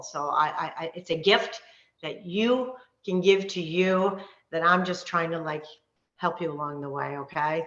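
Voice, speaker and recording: With ordinary pitch variation, this woman's voice sits at a fairly low pitch. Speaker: wellness coach. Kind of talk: live online workshop. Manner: fast; animated.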